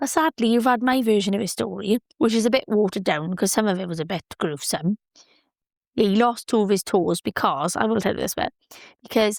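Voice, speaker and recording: At a fairly quick pace, a woman talks with a fairly high pitch in a dry, close sound with no echo. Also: very clean recording, silent background. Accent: British. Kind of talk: casual podcast talk. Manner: upbeat, chatty.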